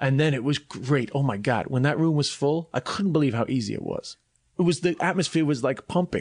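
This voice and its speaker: Talking at a fairly quick pace in a New York accent, a man uses a fairly high pitch with ordinary pitch variation. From New York (Flushing, Queens), schooled in Ireland. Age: 30s. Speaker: comedian. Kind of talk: casual chat.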